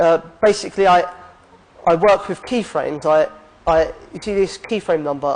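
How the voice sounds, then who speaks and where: Intonation stays fairly even as a man talks. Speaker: game artist. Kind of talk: conference talk. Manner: fast.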